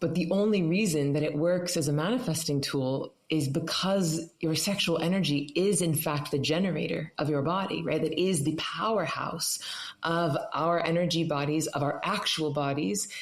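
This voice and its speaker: Woman's voice, fairly low in pitch with ordinary variation and very even loudness, over noticeable background noise and audible room echo. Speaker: meditation teacher. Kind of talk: interview. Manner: fast; animated.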